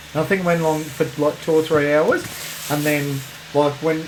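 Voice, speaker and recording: Amid noticeable background noise and audible room echo, a man speaks at a very fast pace with monotone, flat intonation. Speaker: podcast co-host. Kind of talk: casual chat. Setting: separate rooms, remote recording.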